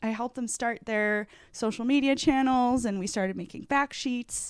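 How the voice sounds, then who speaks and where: A woman with a plain, everyday voice, fairly high in pitch with ordinary pitch variation, speaks at a moderate pace in a very clean recording over a silent background. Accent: American. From New England (Vermont, Massachusetts). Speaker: sports dietitian. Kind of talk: interview.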